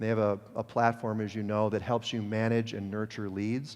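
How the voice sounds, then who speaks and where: Against a quiet background, someone with an American accent speaks at a fairly quick pace. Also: man. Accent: upper Midwest accent, slips out at times. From Detroit, US Midwest. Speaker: mortgage industry executive. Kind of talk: conference presentation. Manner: casual, self-correcting.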